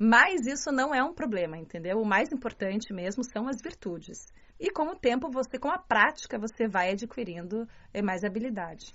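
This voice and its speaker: Her pitch fairly high, a woman speaks at a moderate pace. She makes very wide pitch swings. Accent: strong Curitiba. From southern Brazil, Curitiba. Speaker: journalist and martial arts student. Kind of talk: interview.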